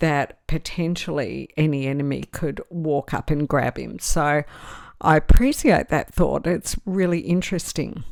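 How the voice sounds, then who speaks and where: A woman speaks at a moderate pace in an Australian accent, her pitch fairly low with ordinary variation. The recording is very clean, with a silent background. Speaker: fantasy TV show commentator. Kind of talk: podcast-style commentary reading social media responses. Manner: casual, with fillers.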